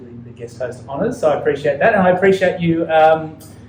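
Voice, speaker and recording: A fairly high-pitched man in an Australian accent, ordinary pitch variation, noticeable background noise. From Australia, Ballarat near Melbourne. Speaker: podcast host, physiotherapist. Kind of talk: interview, casual chat. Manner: many filler words and hesitations.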